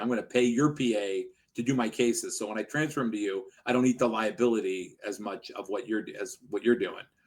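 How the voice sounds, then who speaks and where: Talking fairly quickly, a man with an ordinary speaking voice and medium pitch speaks with an American accent. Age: 60s. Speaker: personal injury lawyer, law firm owner. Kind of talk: podcast interview.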